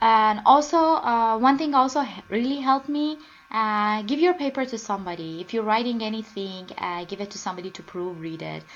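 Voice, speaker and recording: A woman talks at a fairly quick pace with hardly any pauses and lively intonation. Her fairly high voice shows big swings in loudness. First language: not English (third language). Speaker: student. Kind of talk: screencast presentation. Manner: halting, many fillers.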